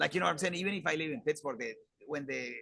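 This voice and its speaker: A man's fairly high voice in a Spanish accent, bright and sharp in tone, with lively intonation and vocal fry. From Colombia, Bogota. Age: 40s. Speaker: conference field host, engineer. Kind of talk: casual interview chat. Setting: live at a conference.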